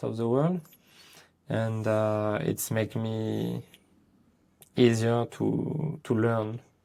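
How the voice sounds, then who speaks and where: A man speaks with a French accent at medium pitch. His pace is very slow. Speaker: dog trainer. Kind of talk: casual interview chat. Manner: halting.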